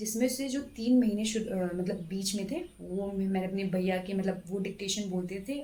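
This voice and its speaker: Audible room echo surrounds a woman speaking at a moderate pace with a medium pitch and ordinary pitch variation. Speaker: government stenographer and exam-prep YouTuber. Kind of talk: exam strategy talk to camera. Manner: hesitant, many fillers.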